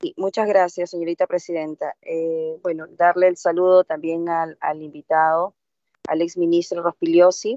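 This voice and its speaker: The speaker is a woman with a fairly low voice. The sound is dry with no echo, over a quiet background. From Peruvian provinces, Andean region; Peru. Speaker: legislator. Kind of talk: parliamentary debate. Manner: halting. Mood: firm, argumentative. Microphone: video call.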